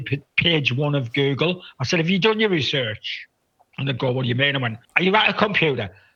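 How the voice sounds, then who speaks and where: A man speaks with a northern English accent. His pitch is fairly high. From northeast England. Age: 60s. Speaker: photographer. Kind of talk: casual chat. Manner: halting, repetitive.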